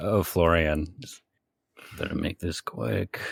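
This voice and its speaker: Quiet and raspy, a man puts on a character voice with a very deep, low pitch and lively intonation. He speaks at a fairly slow pace. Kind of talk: urgent, conspiratorial. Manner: hushed aside.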